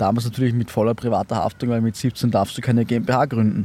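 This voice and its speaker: This man talks at a moderate pace with a medium pitch. His tone is dark and mellow. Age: 20s. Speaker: startup founder and author. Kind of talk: interview. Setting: outdoors in a park.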